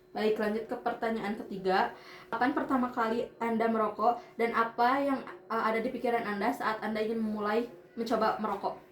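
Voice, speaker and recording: Noticeable background noise sits behind a woman talking fairly quickly at a fairly high pitch with fairly even intonation. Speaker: university student interviewer. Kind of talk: student interview assignment. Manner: halting.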